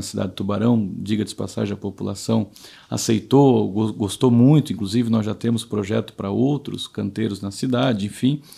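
The tone is dark and mellow, with fairly even intonation. There are hardly any pauses. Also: man. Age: 30s. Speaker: municipal public services manager, former city councillor. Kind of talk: interview.

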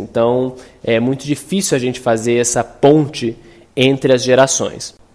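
With fairly even intonation, a man in an unremarkable speaking voice talks at a medium pitch. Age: 30s. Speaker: designer and artist.

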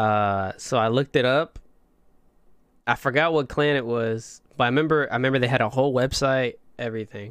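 An ordinary speaking voice from a man with an American accent, medium pitch, fairly even intonation and a fairly quick pace, on a very clean recording with a silent background. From northern Indiana, US Midwest. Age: 20s. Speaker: podcast host, interviewed as guest. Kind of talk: casual interview chat.

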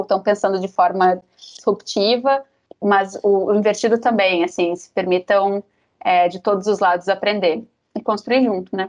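A woman with an ordinary speaking voice talks at a moderate pace, keeping her intonation fairly even. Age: 30s. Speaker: HR manager. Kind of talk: casual chat.

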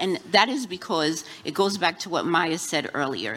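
With lively intonation, a woman speaks at a moderate pace against noticeable background noise. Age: 50s. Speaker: content creator. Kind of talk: live panel discussion. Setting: live event with audience.

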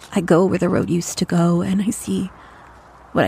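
With vocal fry and a dark, mellow tone, a woman speaks at a moderate pace. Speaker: audio drama narrator. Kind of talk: found-audio horror narration, intimate diary-style monologue. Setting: audio diary recorded into a recorder. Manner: hushed, halting and dread-filled, with uneasy pauses and self-corrections.

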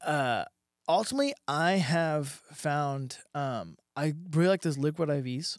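A normal speaking voice with an American accent moves at a fairly slow pace with fairly even intonation. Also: man, fairly high pitch for a man. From South Texas. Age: 20s. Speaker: professional MMA fighter. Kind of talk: casual interview.

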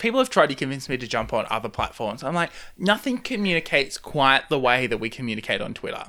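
A man with an Australian accent speaks in a bright, sharp tone, his pitch swinging very widely. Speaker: podcast host. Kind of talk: casual interview chat.

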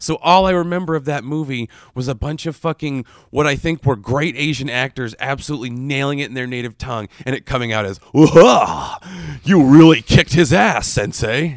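A man's normal speaking voice, fairly high in pitch, with ordinary pitch variation and a dry, close sound with no echo. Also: moderate pace. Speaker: podcast host. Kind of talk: infomercial parody. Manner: upbeat, cheesy announcer voice.

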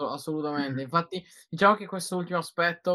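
On a very clean recording with a silent background, a man's tone comes across bright and sharp. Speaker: podcast host. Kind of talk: live podcast chat. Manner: energetic.

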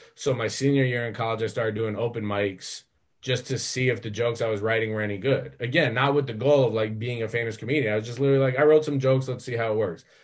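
An American man speaks at a very fast pace with hardly any pauses. His voice is somewhat breathy, medium in pitch, with fairly even intonation. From Colorado, US. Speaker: comedian and TV writer. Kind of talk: interview.

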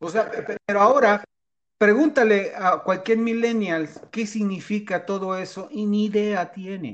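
The speaker has a Mexican accent. The pace is fairly slow. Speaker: podcast co-host. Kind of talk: casual chat. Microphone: connection dropped briefly.

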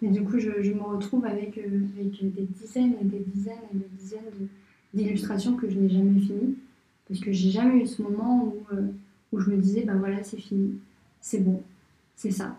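A woman speaks at a medium pitch and a moderate pace. Her tone is dark and mellow, and somewhat breathy. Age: 20s. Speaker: architect and illustrator. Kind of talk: interview. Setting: at her home. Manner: halting, many repetitions and fillers.

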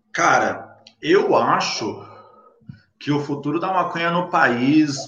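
Room echo is audible around this man's voice. His intonation is lively. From São Paulo, Brazil (Capão Redondo). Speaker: cannabis content creator. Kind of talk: casual interview.

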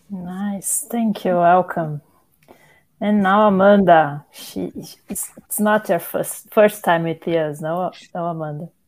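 Speaking very slowly with a Portuguese accent, a woman keeps her intonation fairly even while her loudness swings widely. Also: medium pitch for a woman. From Brazil. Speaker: podcast host, therapist and journalist. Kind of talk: casual chat.

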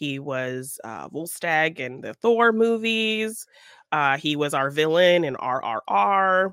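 In a very clean recording with a silent background, a woman speaks at a very slow pace. Her very deep, low pitch swings very widely, and her loudness shifts a lot. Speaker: podcast co-host and artist. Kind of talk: casual chat and film review. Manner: giggly, often laughing.

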